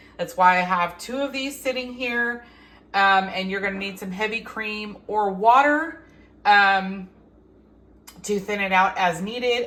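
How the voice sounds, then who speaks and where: Speaking slowly-ish with a bright, sharp tone, a woman with an American accent holds a medium pitch and ordinary pitch variation. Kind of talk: cooking tutorial talk to camera. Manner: casual, hesitant with fillers.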